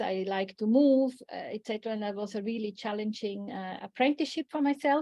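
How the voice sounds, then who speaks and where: A woman with a non-native accent speaks at a fairly high pitch. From Switzerland. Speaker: coach and workshop facilitator. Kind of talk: online workshop talk. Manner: hesitant, many fillers.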